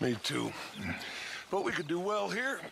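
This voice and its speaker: Using a put-on character voice, a man talks raspily at a moderate pace over clear background noise. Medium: video game. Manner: grandiloquent, measured.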